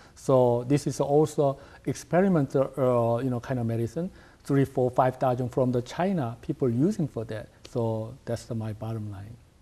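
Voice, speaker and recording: With a Korean accent, a man speaks in a dark, mellow tone at a medium pitch. His pace is moderate and his pitch variation ordinary. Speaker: acupuncturist, clinic director. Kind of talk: TV interview. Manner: halting, many fillers.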